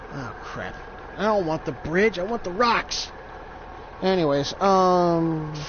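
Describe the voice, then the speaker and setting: The speech moves at a very slow pace with long, frequent pauses. Background noise is noticeable. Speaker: gamer streamer. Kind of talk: casual chat. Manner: stuttering; halting.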